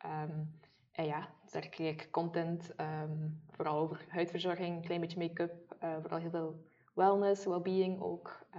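Speaking in a monotone, flat way at a fairly slow pace, a woman with a fairly low pitch and a slight West Flemish accent shows big swings in loudness. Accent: slight West Flemish-tinged Flemish. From Maldegem, East Flanders, Belgium. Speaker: podcast co-host, beauty blogger. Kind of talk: casual chat.

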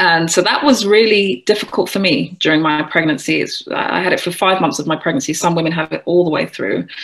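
Fairly quick speech from a woman at a fairly low pitch, with ordinary pitch variation, hardly any pauses and noticeable background noise. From England, London. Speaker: yoga and wellbeing teacher. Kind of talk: casual interview conversation.

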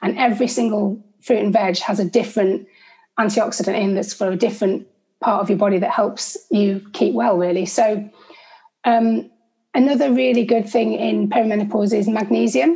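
Lively intonation and vocal fry mark this voice, which keeps a moderate pace. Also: woman, medium pitch for a woman. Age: 40s. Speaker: nutritional therapist. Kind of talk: interview.

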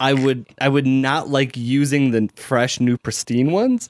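The speaker is a man with a Chicago accent and fairly even intonation. The sound is dry and close, with no echo. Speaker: podcast co-host. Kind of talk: casual chat. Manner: casual, rambling with fillers.

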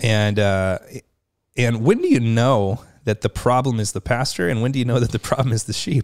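With a normal speaking voice, a man talks at a moderate pace and medium pitch with fairly even intonation, in a very clean recording with a silent background and dry, close sound with no echo. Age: 30s. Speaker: pastor and podcast host. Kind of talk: interview conversation. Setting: studio.

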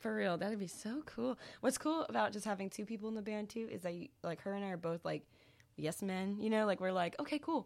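In a plain, everyday voice, a woman speaks at medium pitch with lively intonation and a fairly quick pace. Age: 20s. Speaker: singer in a band. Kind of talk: casual chat.

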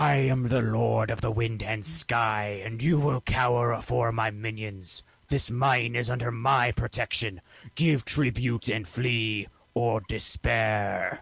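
Shouting in a raspy, put-on character voice at medium pitch, a man goes at a fairly slow pace against a quiet background. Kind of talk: archaic, proclaiming. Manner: intimidating, shouting.

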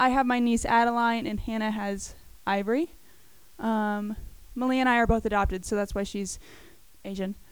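A woman at a fairly high pitch and moderate pace, with fairly even intonation and long, frequent pauses. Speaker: student giving testimony. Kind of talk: testimony. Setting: church service with audience. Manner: soft-spoken.

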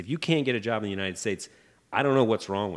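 With an American accent, a man talks in a fairly low pitch and lively intonation. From Indiana, US Midwest (Fort Wayne). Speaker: architect and real estate developer. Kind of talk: interview conversation.

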